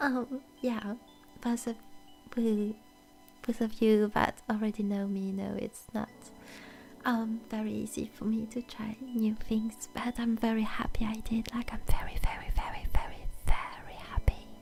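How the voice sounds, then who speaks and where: In a French accent, a woman with fairly high pitch speaks slowly in a flat monotone, her loudness swinging widely. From France. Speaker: VTuber ASMR streamer. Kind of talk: casual chat. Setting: live stream.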